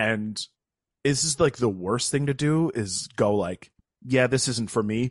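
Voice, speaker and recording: Against a quiet background, a man with an American accent and an unremarkable speaking voice talks at a fairly slow pace and medium pitch, with ordinary pitch variation. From upstate New York. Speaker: actor and improv comedian. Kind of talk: casual interview chat.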